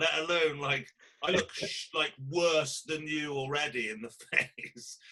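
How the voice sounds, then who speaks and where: A man with a Welsh accent, fairly high-pitched and bright, sharp in tone, at a fairly slow pace with fairly even intonation and long, frequent pauses. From Wales. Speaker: podcast host. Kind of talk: casual chat.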